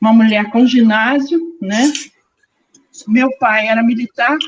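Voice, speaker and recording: A woman talks at a fairly slow pace. Her voice is fairly high and somewhat breathy. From Rio de Janeiro, Brazil. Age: 60s. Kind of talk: personal testimony in online panel.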